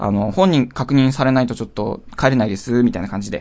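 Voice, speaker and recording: In a plain, everyday voice, a man talks at a fairly quick pace with a medium pitch and ordinary pitch variation. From Hokkaido, Japan. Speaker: podcast host. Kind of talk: solo comedic storytelling.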